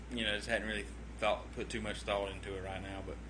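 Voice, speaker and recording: With a Southern US accent, a man speaks in a very deep, low voice that swings very widely in pitch, with audible echo in the room. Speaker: vlogger. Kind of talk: casual livestream chat. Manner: rambling, hesitant with many fillers.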